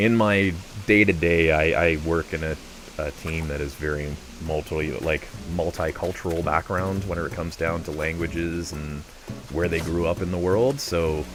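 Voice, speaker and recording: A man's very deep, low voice with a Canadian accent, relaxed in tone and at a moderate pace, with ordinary pitch variation and noticeable background noise. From Canada. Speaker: gaming streamer. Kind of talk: casual chat. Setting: livestream.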